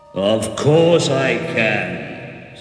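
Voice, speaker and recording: A man puts on a booming character voice at a medium pitch, with a clear echo around it. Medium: read story.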